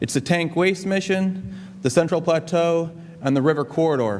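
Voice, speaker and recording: At a fairly quick pace, a man talks in a fairly high pitch with ordinary pitch variation and audible room echo. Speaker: government energy official presenting. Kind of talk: conference presentation.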